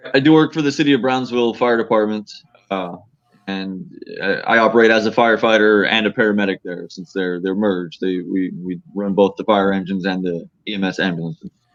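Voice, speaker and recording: A man's plain, everyday voice, fairly low-pitched, at a fairly quick pace with ordinary pitch variation. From Harlingen, Texas. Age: 30s. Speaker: author and firefighter-paramedic. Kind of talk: interview.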